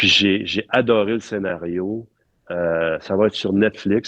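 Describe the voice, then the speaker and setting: A man speaks with fairly even intonation. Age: 60s. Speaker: film art director. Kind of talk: interview conversation. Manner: halting with many fillers.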